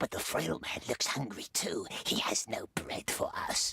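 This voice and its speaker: A put-on character voice whispers in a raspy, hissing way. It moves at a moderate pace. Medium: video game. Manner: talks to himself, plural "we", hissing repetitions.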